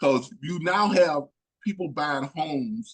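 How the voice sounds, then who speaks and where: This is an ordinary speaking voice. Its intonation is lively. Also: man. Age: 50s. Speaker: real estate investing mentor. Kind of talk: casual chat.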